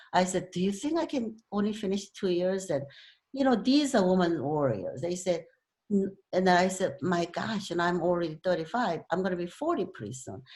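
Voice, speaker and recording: A woman speaks at a moderate pace with a slight Korean accent and a medium pitch. Her voice is somewhat breathy, and her intonation is lively. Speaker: club speaker, author. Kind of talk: talk to club meeting.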